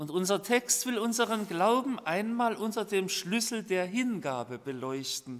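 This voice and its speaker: The speech moves at a fairly slow pace with very wide pitch swings and hardly any pauses. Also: man, high pitch for a man. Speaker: preacher. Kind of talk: sermon. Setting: church. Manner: formal; earnest. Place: church. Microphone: podium.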